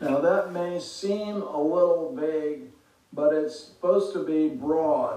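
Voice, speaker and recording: Noticeable background noise sits behind a man speaking at a very slow pace. His pitch is high, with ordinary variation. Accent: American. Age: 70s. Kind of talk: solo podcast monologue on politics. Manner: hesitant, filler words.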